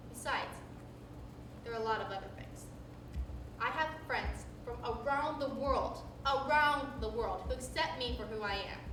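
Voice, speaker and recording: A woman at a moderate pace with long, frequent pauses, amid noticeable background noise and audible room echo. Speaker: university drama student performing a one-woman show. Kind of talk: solo stage performance monologue. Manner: occasional stutter.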